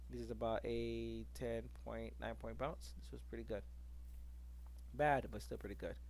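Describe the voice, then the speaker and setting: Speaking at a moderate pace in a somewhat breathy, flat monotone, the voice carries audible room echo. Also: man. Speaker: day trader reviewing trades. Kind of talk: screen-share trade review tutorial. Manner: casual with fillers; whispering.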